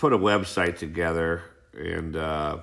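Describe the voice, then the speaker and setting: A man mumbles in a very deep, low voice, with audible echo from the room. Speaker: YouTuber explaining treasure hunt theory. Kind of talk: monologue explanation. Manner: mumbling; halting, many fillers.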